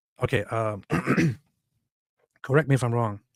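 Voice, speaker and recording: The recording is very clean with a silent background. A man with a non-native accent speaks at a medium pitch. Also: dry, close sound with no echo. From immigrant, grew up abroad. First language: not English. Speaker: online commentator, channel owner. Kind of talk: reaction commentary on a clip and article. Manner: animated, indignant.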